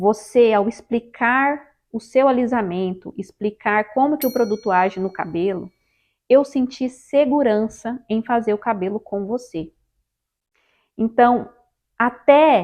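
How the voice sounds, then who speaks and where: Speaking with a Brazilian accent, a woman uses a fairly high pitch and ordinary pitch variation. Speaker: hairdresser and hair straightening instructor. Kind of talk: tutorial. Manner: halting.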